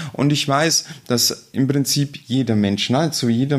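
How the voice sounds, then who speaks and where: This is a man with a normal speaking voice. He talks at a fairly slow pace with ordinary pitch variation. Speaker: state politician. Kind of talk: interview. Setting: her office.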